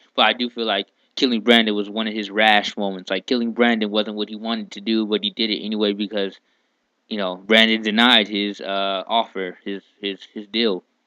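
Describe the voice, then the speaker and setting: A man talks at a fairly quick pace in a fairly low pitch, with monotone, flat intonation. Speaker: anime reviewer. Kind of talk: casual talk to camera. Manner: laid back, hesitant, with repeats and pauses; laid back, easy flowing.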